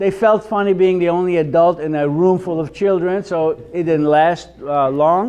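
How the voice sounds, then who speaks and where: This man, with an Israeli accent, has a high pitch and fairly even intonation and leaves hardly any pauses. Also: moderate pace. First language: Hebrew. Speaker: Hebrew teacher. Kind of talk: lecture.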